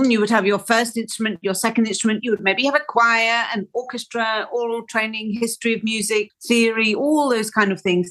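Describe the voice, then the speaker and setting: A woman with a Welsh accent talks at a fairly quick pace, using a fairly high pitch and fairly even intonation. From Wales. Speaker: orchestral flautist. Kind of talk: interview conversation. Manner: hesitant, with self-corrections.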